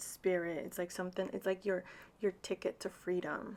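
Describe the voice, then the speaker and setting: A woman speaks at a moderate pace. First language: Spanish. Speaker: tarot reader. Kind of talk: tarot reading. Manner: casual, chatty with fillers.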